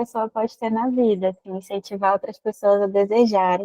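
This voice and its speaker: Her pitch is fairly high and her pace fairly quick. The woman speaks with monotone, flat intonation. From Manaus, Amazonas, Brazil. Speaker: psychologist. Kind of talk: live stream interview chat.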